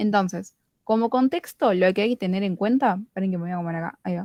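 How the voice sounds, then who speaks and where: In a dry, close sound with no echo, a woman speaks with a dark, mellow tone. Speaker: student study group leader. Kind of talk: tutorial.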